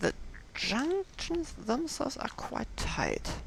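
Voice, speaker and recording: A woman with a German accent speaks over noticeable background noise. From Germany. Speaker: gaming youtuber. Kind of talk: gameplay commentary. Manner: casual, hesitant with fillers.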